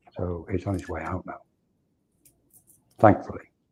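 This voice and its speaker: A man speaks with a very deep, low pitch and a somewhat breathy quality. His intonation stays monotone and flat. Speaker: spiritual teacher. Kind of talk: interview. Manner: halting.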